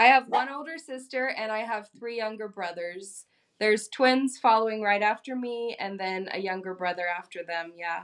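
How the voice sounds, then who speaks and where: A woman speaks with a plain, everyday voice, fairly high in pitch, with ordinary pitch variation and an American accent. Her loudness swings widely at a moderate pace with hardly any pauses. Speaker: YouTuber, former missionary. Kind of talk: interview.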